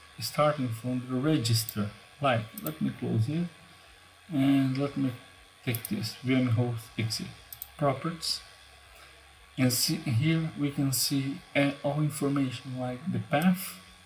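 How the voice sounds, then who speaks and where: Against noticeable background noise, a man talks at a fairly slow pace, leaving long, frequent pauses. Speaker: cybersecurity tutorial youtuber. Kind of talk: tutorial.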